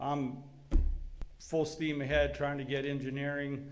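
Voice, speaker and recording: Room echo is audible. The pace is fairly slow. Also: man. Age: 60s. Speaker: business owner addressing city board. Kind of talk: public comment at meeting.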